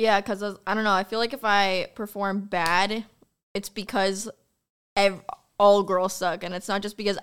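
A plain, everyday voice, this woman speaks at medium pitch and a moderate pace with fairly even intonation, on a very clean recording with a silent background. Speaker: streamer. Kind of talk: casual chat.

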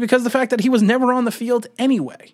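A man speaks at an extremely high pitch. His tone is animated. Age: 50s. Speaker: sports podcast host. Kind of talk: casual sports commentary monologue.

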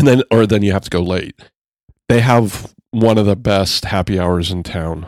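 This man has an ordinary speaking voice, fairly low in pitch with ordinary pitch variation, talking at a moderate pace with a dry, close sound and no echo. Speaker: podcast host. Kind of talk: casual chat.

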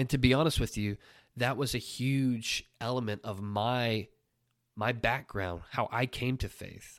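At a fairly slow pace, a man with an American accent talks in a medium pitch, captured in a very clean recording with a silent background. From Oklahoma. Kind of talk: solo devotional podcast monologue.

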